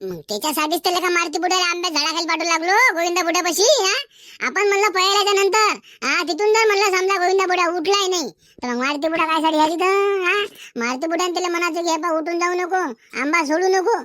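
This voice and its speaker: A cartoonish character voice at an extremely high pitch and moderate pace. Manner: boastful, scheming.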